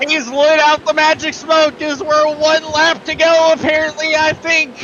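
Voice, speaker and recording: Noticeable background noise sits behind a man with an extremely high pitch. He talks at a fairly slow pace in a monotone, flat intonation. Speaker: sim racing commentator. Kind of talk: live commentary.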